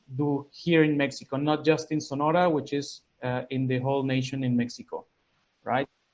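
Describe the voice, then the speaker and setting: The speaker has a Spanish accent and talks at a moderate pace. The intonation is monotone and flat. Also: man. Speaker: consulting business owner. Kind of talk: business pitch. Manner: halting.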